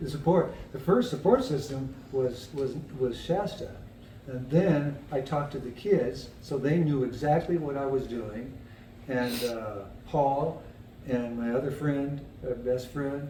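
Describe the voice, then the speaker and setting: A man with a fairly high pitch speaks at a fairly slow pace with ordinary pitch variation, over noticeable background noise and audible room echo. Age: 70s. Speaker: person with cognitive decline sharing experience. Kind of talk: casual chat. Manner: halting.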